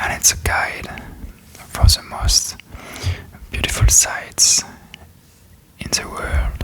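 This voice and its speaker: Someone whispers at a very slow pace with long, frequent pauses. Noticeable background noise sits behind the voice. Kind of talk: ASMR reading and tracing. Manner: whispered; slow, hesitant.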